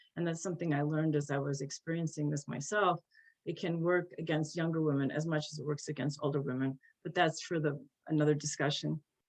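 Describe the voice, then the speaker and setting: Words come at a very fast pace in an American accent. The intonation stays fairly even. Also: woman, very deep, low pitch for a woman. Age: 60s. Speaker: journalist and editor. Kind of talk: panel talk.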